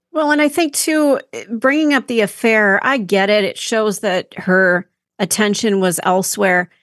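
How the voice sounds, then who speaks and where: A woman with an American accent has a plain, everyday voice, fairly high in pitch, with lively intonation at a fairly slow pace. Her loudness stays very even, and the sound is dry and close with no echo against a quiet background. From Minnesota. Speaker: podcast co-host. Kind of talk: casual discussion.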